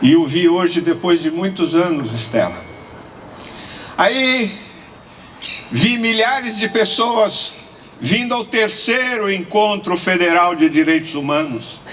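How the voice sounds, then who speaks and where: Speech comes very slowly with lively intonation and long, frequent pauses, over noticeable background noise and audible room echo. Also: man, high pitch for a man. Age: 70s. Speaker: lawyer and human rights activist. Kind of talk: conference speech.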